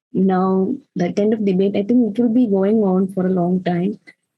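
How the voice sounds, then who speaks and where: In a Keralan accent, a woman speaks at a fairly slow pace with a medium pitch. Her tone is dark and mellow, and somewhat breathy. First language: Malayalam. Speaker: poet. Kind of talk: casual conversation. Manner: halting, many fillers.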